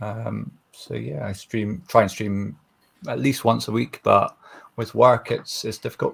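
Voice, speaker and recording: In a Scottish accent, a man speaks at a fairly slow pace with big swings in loudness. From Scotland. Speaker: streamer and contestant. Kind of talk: self-introduction.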